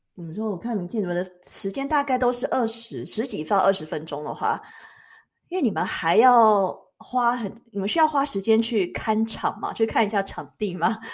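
A woman with a plain, everyday voice speaks at a moderate pace, her fairly high pitch carried by lively intonation. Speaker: podcast host. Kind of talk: casual chat.

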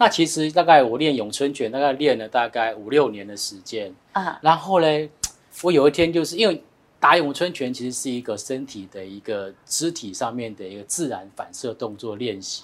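A man speaks at a medium pitch and a moderate pace, with lively intonation. It is a normal speaking voice, with big swings in loudness. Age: 40s. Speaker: finance expert. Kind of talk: casual chat.

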